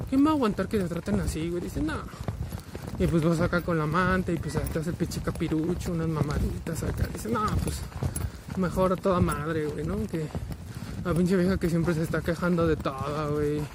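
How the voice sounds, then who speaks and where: A man speaks at a fairly quick pace with a fairly high pitch and ordinary pitch variation. Noticeable background noise runs underneath. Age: 20s. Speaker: vlogger. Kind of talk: casual monologue while walking. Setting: outdoors, walking.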